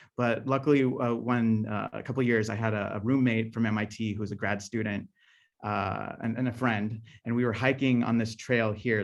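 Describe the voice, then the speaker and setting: The background is quiet as a man speaks with an American accent. His medium-pitched voice stays in a flat monotone. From Southern California. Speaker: scientist and guest speaker. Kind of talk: lecture. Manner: fast; halting, many fillers and restarts.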